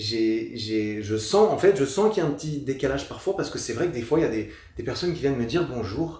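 Speaking very fast, a man uses a medium-pitched, dark, mellow voice that is somewhat breathy and swings very widely in pitch. Audible room echo fills the space around him. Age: 30s. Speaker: fitness YouTuber and podcaster. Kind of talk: casual chat. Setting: studio, sitting on a couch in Paris.

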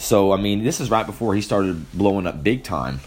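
Lively intonation in an unremarkable speaking voice. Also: man. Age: 20s. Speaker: film review podcast host. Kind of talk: solo movie review. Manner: casual with frequent fillers.

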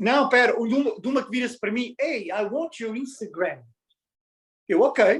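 A man's extremely high-pitched voice at a fairly slow pace, with ordinary pitch variation and long, frequent pauses. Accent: European Portuguese. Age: 30s. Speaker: podcast guest. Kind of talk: casual chat.

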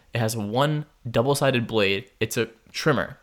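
Heard in a very clean recording with a silent background, a man speaks with an unremarkable speaking voice and fairly even intonation. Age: 20s. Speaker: college podcast co-host. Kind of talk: casual chat.

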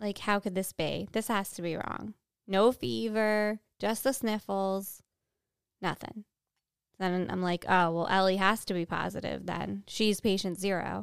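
The voice moves at a fairly slow pace with ordinary pitch variation, in a dry, close sound with no echo. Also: woman, medium pitch for a woman, very clean recording, silent background. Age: 40s. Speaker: podcast co-host, mother. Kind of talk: casual chat. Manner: animated.

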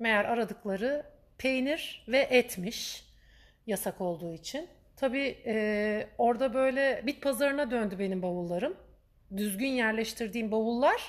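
This woman's voice sits high and moves through very wide pitch swings. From Turkey, Istanbul. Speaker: podcaster. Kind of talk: personal storytelling monologue. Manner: chatty.

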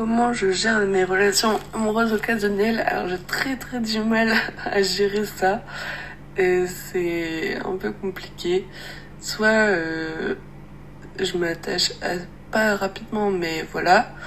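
A woman speaks at a very slow pace with long, frequent pauses and fairly even intonation. Noticeable background noise can be heard. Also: medium pitch for a woman. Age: 20s. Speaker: interviewee. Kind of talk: testimony. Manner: halting.

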